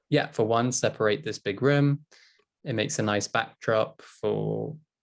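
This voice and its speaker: In a British accent, a man speaks at a fairly slow pace with fairly even intonation on a very clean recording with a silent background. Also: long, frequent pauses. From England. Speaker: English teacher. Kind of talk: casual discussion.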